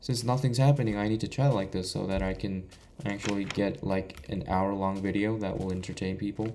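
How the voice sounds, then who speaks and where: Speaking with a Korean accent, a man uses a fairly low pitch, a moderate pace and ordinary pitch variation. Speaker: gaming YouTuber. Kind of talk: gameplay commentary. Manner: stuttering, halting.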